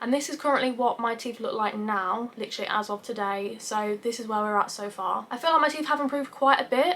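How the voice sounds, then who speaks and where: A woman's fairly high voice with an English accent, very fast and with hardly any pauses, with ordinary pitch variation. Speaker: YouTuber. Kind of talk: vlog.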